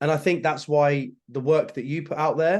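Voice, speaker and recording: A man with a Yorkshire accent talks at a moderate pace in a fairly high pitch, with ordinary pitch variation. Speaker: actor and social media creator. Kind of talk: casual chat.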